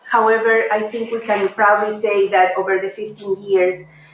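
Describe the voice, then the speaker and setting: Someone speaks with a Peruvian accent, with audible room echo. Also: woman. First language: Spanish. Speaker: professor. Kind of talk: lecture. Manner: hesitant, many fillers.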